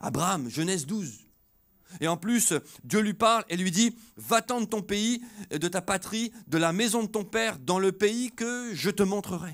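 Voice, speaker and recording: Fairly slowly and with lively intonation, a man speaks in a high voice against a quiet background. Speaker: preacher. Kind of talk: sermon. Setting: church with congregation. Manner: animated, exhortative preaching with call-and-response 'Alléluia' and 'Amen'; conversational, with light humor. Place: church. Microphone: handheld.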